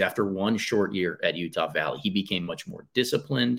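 On a very clean recording with a silent background, a man speaks in a normal speaking voice, fairly low in pitch with ordinary pitch variation. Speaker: basketball podcaster and coach. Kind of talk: casual podcast interview chat. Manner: self-deprecating, conversational.

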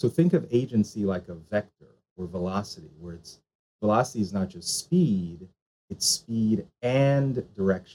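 With an American accent, a man speaks in a normal speaking voice at a fairly low pitch, a moderate pace and lively intonation. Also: big swings in loudness. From Jamaican parents, US. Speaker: charter school founder and author. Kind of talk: interview conversation.

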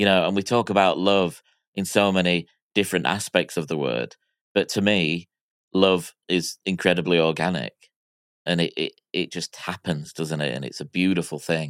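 A man with an American accent speaks at a moderate pace, his very deep, low pitch showing ordinary variation and vocal fry. The recording is very clean, with a silent background and a dry, close sound with no echo. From Miami, US. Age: 40s. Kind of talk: casual chat.

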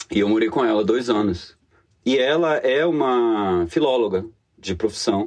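A man with a medium pitch and an unremarkable speaking voice talks with lively intonation and very even loudness. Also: fairly slow pace. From Bahia, Brazil (Salvador). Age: 30s. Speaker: economist and etymology enthusiast. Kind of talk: casual interview.

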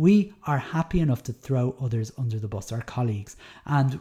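In a Dublin accent, a man speaks at a moderate pace with a medium pitch, a dark, mellow tone, some breathiness and lively intonation, on a very clean recording with a silent background. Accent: Dublin Irish. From Ireland, Dublin. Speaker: podcast host, primary teacher. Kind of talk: solo commentary podcast. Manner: casual, hesitant with many fillers.

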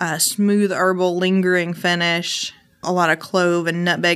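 A woman speaks at a fairly slow pace in a bright, sharp tone and a fairly low pitch, her intonation monotone and flat, on a very clean recording with a silent background. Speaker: whiskey blender. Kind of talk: casual chat.

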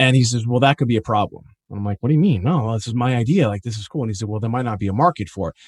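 A man's medium-pitched voice with an American accent and lively intonation, dry and close with no echo, on a very clean recording with a silent background. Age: 40s. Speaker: entrepreneur, former attorney. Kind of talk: interview.

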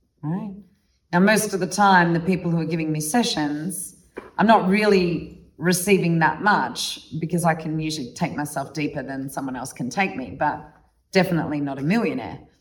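A woman talks at a moderate pace, fairly low in pitch with ordinary pitch variation. She has an unremarkable speaking voice. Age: 40s. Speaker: tantra teacher. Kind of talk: workshop talk.

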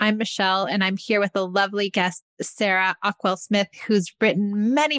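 In a very clean recording with a silent background and a dry, close sound with no echo, a woman speaks at a medium pitch and moderate pace in a plain, everyday voice. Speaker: podcast host. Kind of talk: interview, friendly chat.

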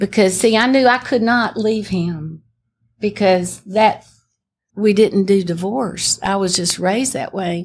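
On a very clean recording with a silent background, a woman with a Southern US accent speaks at a fairly slow pace in a somewhat breathy, medium-pitched voice with ordinary pitch variation. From Alabama, US South. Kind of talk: testimony. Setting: stage with audience.

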